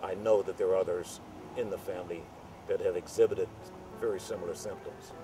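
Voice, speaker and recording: A man talks at a very fast pace with long, frequent pauses while music plays in the background. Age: 70s. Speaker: retired US Air Force, CMT patient. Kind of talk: interview answer. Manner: hesitant, with many fillers.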